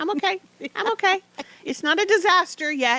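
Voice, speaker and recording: Squeaky and extremely high, this put-on character voice has a cheerful tone. It moves at a moderate pace. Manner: false cheerful denial.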